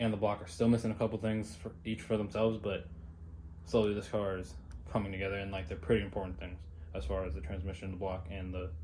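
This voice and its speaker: Speaking at a very fast pace, a man with a fairly low pitch, ordinary pitch variation and a dark, mellow, somewhat breathy tone is heard over audible room echo. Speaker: car builder vlogger. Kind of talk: casual garage vlog.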